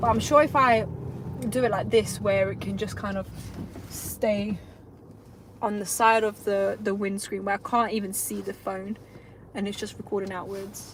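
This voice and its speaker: Over noticeable background noise, a woman speaks at a moderate pace with a medium pitch, fairly even intonation, and long, frequent pauses. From North London (Tottenham), moved from Lithuania at nine. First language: Lithuanian. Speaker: self-employed electrician, vlogger. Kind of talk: casual live vlog. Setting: in a car, driving.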